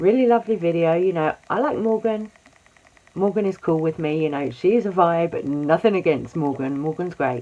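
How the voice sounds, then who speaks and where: Someone speaks quietly at a moderate pace over noticeable background noise. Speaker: YouTube drama commentator. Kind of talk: casual commentary vlog.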